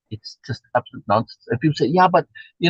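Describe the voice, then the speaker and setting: A man with a South African accent speaks in a somewhat breathy voice, recorded with a dry, close sound and no echo. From USA, South African immigrant community. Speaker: reading group host. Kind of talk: casual discussion. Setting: live stream.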